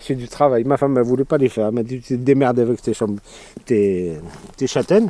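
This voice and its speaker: A man speaks with an Algerian accent at a fairly quick pace. His pitch is medium, with ordinary variation. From Kabylie, Algeria. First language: Kabyle (speaking French). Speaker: immigrant worker. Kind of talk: interview. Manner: halting.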